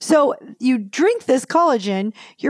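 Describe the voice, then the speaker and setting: The pitch swings very widely, and the recording is very clean with a silent background. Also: woman. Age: 50s. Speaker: clinical nutritionist. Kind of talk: interview.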